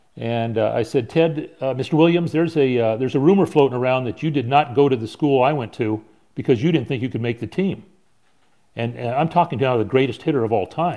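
A man with a Southern California accent, medium pitch, dark, mellow tone, ordinary pitch variation and a fairly quick pace. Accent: American (Southern California). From San Diego, California. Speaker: baseball pitching coach. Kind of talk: casual chat.

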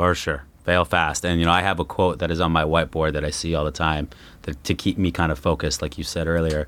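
Very fast and flat, a man talks in a Californian accent with monotone intonation. His pitch is very deep and low, with vocal fry. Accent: General American (Californian). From Los Angeles, Southern California. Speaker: podcast host. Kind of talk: interview. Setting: studio.

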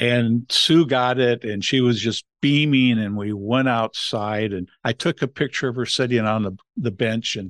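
A man with a Californian accent, fairly even intonation, a dry, close sound with no echo, and a quiet background. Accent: General American (Californian). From Los Angeles, US West Coast. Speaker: family foundation head, former pastor. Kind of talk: interview conversation.

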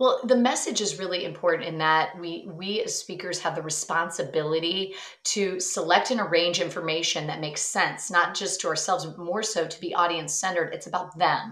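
Animated and fairly quick, a woman with a fairly low pitch talks with hardly any pauses and big swings in loudness. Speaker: speaking coach and author. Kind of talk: casual interview chat. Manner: animated, expressive.

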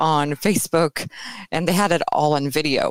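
Dry and close with no echo, a woman speaks at a moderate pace. Her pitch variation is ordinary. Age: 40s. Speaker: burlesque performer. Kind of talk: casual chat.

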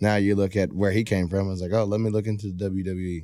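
Speaking with a Texan accent, a man with a very deep, low pitch and a dark, mellow tone talks at a fairly quick pace with fairly even intonation, on a very clean recording with a silent background. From Texas, Rockdale and Baytown. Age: 20s. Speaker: professional bull rider. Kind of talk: casual chat.

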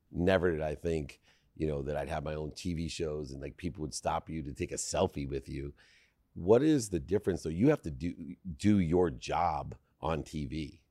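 Over a very clean recording with a silent background, a man with a very deep, low pitch and a dark, mellow tone talks at a moderate pace, using ordinary pitch variation and vocal fry. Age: 60s. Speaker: podcast host. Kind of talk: interview. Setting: hotel, in person. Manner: animated.

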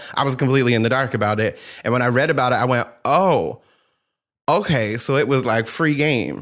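In a very clean recording with a silent background, a man with a medium pitch speaks at a fairly quick pace in an animated tone, with ordinary pitch variation and very even loudness. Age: 30s. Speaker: podcast host, tarot reader. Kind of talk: casual chat; tarot reading.

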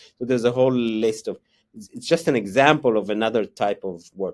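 A man with an Israeli accent. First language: Hebrew. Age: 50s. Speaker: economics professor. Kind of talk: interview. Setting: remote call. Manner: halting, many fillers and repetitions.

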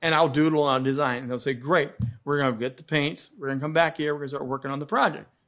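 Music plays in the background as a man with an American accent talks at a very fast pace in a fairly high voice. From US Midwest, Indiana. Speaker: TV host and media coach. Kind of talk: interview. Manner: animated.

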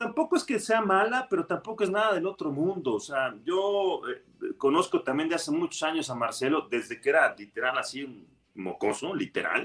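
A man talks with a Mexican accent. He keeps a moderate pace with hardly any pauses. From Mexico. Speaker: football pundit. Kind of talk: casual chat.

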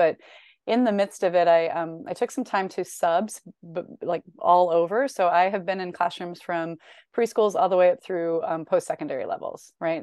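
An unremarkable speaking voice with fairly even intonation and a fairly quick pace. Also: woman. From US Midwest, Northern Illinois. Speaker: educator and education consultant. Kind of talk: casual interview conversation.

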